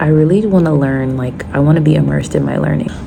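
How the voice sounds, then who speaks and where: A woman talks at a fairly quick pace. There is noticeable background noise and audible room echo. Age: 20s. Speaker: vlogger. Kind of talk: casual vlog. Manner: fast.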